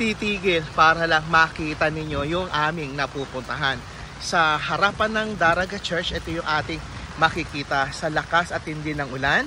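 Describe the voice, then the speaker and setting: Noticeable background noise accompanies a moderate pace and ordinary pitch variation. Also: man. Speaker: travel vlogger. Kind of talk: travel vlog narration. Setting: outdoors in heavy rain. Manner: lowered voice inside church.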